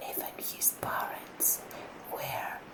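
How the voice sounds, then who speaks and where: A whisper at a very slow pace over noticeable background noise. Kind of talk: ASMR story narration, audiobook-style reading. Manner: soft-spoken, relaxing.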